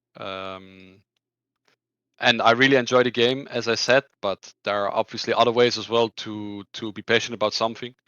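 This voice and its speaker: With a Dutch accent, a man speaks at a medium pitch. His intonation is monotone and flat. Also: moderate pace, big swings in loudness. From Netherlands. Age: 20s. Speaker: esports player. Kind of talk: interview. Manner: halting, many fillers and repetitions.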